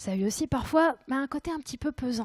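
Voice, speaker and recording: A woman with a dark, mellow tone talks at a fairly quick pace with ordinary pitch variation, in a dry, close sound with no echo. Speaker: conference speaker. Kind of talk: conference talk. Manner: hesitant.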